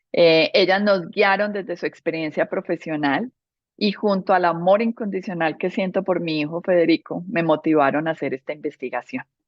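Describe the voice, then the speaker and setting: A woman's fairly low voice, with normal rise and fall in pitch, moves along at a moderate speed. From Colombia, Medellín. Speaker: interior architect, speaker. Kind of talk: presentation talk.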